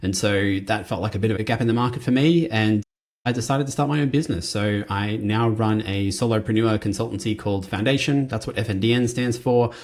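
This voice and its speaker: A very fast man with an Australian accent, medium pitch, ordinary pitch variation and hardly any pauses. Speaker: compensation consultant. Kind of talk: conference presentation. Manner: casual and conversational.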